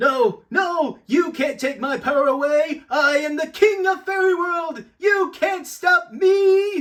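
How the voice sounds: In a cartoonish character voice, a man speaks slowly at an extremely high pitch, fairly bright in tone with ordinary pitch variation.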